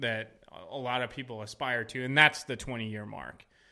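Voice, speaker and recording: A man has a normal speaking voice at medium pitch. He talks at a fairly quick pace. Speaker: army veteran. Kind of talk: casual chat.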